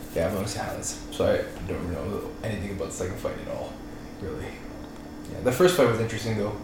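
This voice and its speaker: A man with a Toronto accent talks at a very fast pace in a medium pitch. Noticeable background noise and audible room echo fill the recording. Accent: Toronto Canadian English. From Toronto, Canada (Scarborough). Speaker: student, jiu jitsu practitioner. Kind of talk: casual chat. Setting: in-person podcast recording, shared recorder.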